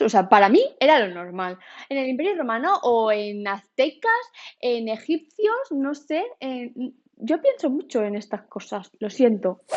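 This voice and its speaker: In a Valencian accent, a woman speaks at a fairly slow pace with lively intonation and an animated tone. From Spain, Valencia. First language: Valencian (speaking Spanish). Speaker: YouTuber. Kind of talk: casual vlog monologue. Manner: animated, chatty.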